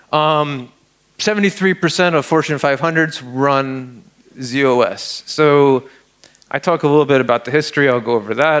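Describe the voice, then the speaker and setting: With a New York accent, this man speaks with ordinary pitch variation. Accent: New York American. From Upstate New York. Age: 40s. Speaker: security researcher speaker. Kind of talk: conference talk. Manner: casual, halting with repetitions.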